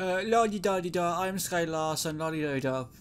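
In a put-on character voice, a man speaks sing-song at a high pitch and a moderate pace. Clear background noise runs under him. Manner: mocking, sing-song.

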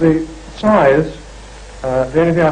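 A man with fairly even intonation, light background noise behind him. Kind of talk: interview answer. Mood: calm, measured. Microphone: old recording.

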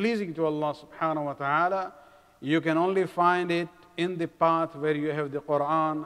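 A high male voice at a moderate pace, with fairly even intonation and a quiet background. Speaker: speaker. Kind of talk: sermon. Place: hall. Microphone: podium.

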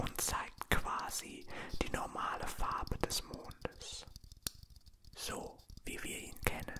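Whispering, a man speaks at a very slow pace with long, frequent pauses. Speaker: ASMR creator. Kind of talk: ASMR whisper in German. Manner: soft-spoken, whispered. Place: home room. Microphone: handheld.

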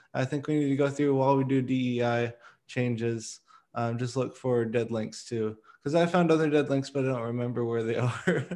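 Over a quiet background, a man with a dark, mellow tone talks at a moderate pace with fairly even intonation. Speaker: meeting facilitator, open-source working group. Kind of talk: work meeting discussion. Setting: video call. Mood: light, self-deprecating. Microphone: video call.

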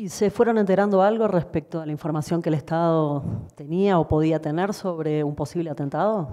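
Against a quiet background, a woman talks fairly quickly in a dark, mellow tone at a fairly low pitch. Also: ordinary pitch variation. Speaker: lawyer for the petitioners. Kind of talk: legal hearing questioning and closing argument.

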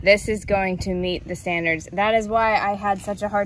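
Noticeable background noise surrounds a woman's voice. She speaks at a moderate pace in a monotone, flat way. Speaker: motorcycle rider reviewing helmet. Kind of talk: casual vlog chat. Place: street.

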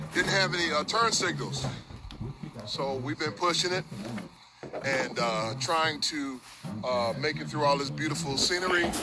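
A man's voice, with ordinary pitch variation, comes through noticeable background noise. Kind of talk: casual vlog chat. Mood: grateful, upbeat. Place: street. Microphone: phone near.

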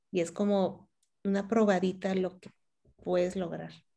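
A woman with a Mexican accent at a fairly slow pace, monotone and flat, over a quiet background. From León, Guanajuato, Mexico; Guanajuato, Mexico. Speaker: meditation teacher; meditation teacher being interviewed. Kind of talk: interview. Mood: calm, warm, reflective. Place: home room. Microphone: video call.

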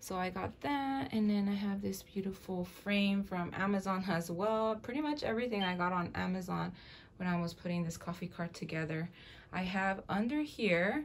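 At a moderate pace, a woman talks with ordinary pitch variation amid light background noise. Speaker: room tour vlogger. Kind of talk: casual vlog chat. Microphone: phone near.

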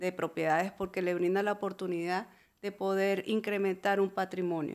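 A woman talks at a moderate pace. She has an ordinary speaking voice. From Venezuela. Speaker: real estate broker. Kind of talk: interview.

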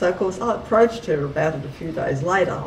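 Against noticeable background noise, a woman with an Australian accent speaks fairly quickly with lively intonation. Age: 60s. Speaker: contact experiencer and author. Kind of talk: interview answer.

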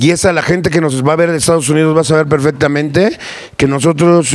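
In a very clean recording with a silent background, a man speaks with a Mexico City accent. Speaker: sound system owner. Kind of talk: casual interview. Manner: animated; halting.

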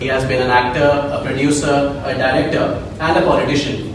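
Over noticeable background noise, a woman talks at a moderate pace with a very deep, low pitch. Strong room echo fills the recording. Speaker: event moderator. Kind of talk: formal event introduction. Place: meeting room. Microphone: camera far.

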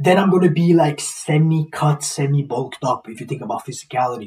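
Fairly quick and fairly high-pitched, a man speaks with ordinary pitch variation, a slightly mellow tone and a slightly husky edge.

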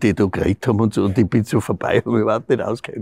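A man in a Styrian accent, somewhat breathy and dark, mellow in tone, recorded dry with no echo over a quiet background. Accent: Styrian Austrian. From Styria, Austria. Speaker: actor. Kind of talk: interview answer. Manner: casual, anecdotal. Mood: amused storytelling. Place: stage.

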